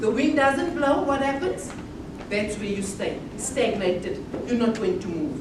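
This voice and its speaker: A woman speaks loudly with very wide pitch swings. Audible room echo and noticeable background noise surround her voice. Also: fairly high pitch for a woman, moderate pace. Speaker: motivational speaker. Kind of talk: conference talk. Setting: conference hall with audience. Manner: loud, projecting without a microphone; animated. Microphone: no microphone.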